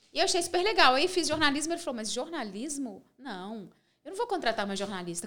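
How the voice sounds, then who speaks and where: Very fast and high-pitched, a woman speaks with very wide pitch swings. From Minas Gerais, Brazil (small interior town). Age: 40s. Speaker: TV presenter and speaker. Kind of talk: casual interview.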